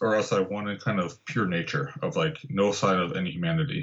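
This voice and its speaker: Somewhat breathy, a man speaks at a fairly quick pace with very wide pitch swings. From Southern California (Santa Barbara). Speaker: landscape photographer and guidebook author. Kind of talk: casual interview.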